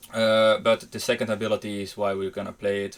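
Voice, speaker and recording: Speaking with a Dutch accent, a man at medium pitch keeps a fairly quick pace. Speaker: gaming YouTuber. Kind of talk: tutorial. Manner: hesitant with fillers.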